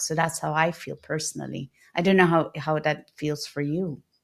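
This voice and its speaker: Her pitch is very deep and low for a woman, with a slight non-native accent and a moderate pace. The recording is very clean, with a silent background. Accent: near-native English. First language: not English (multilingual). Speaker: podcast host. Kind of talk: podcast interview.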